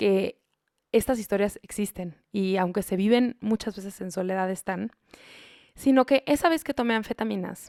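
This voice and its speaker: In a very clean recording with a silent background, dry and close with no echo, a woman speaks at a moderate pace in a dark, mellow tone of medium pitch with ordinary pitch variation. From Mexico. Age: young. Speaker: psychologist and podcast host. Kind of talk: personal monologue podcast.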